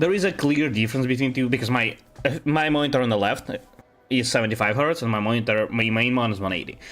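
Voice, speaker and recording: A man talks with a Russian accent at a fairly quick pace. Music plays in the background. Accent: Russian accent, very apparent. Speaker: video game streamer. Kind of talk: casual live-stream chat. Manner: hesitant, many fillers and restarts.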